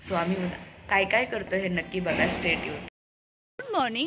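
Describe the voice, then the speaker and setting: A woman with lively intonation. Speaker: student vlogger. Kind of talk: casual vlog. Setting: college sports ground. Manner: animated.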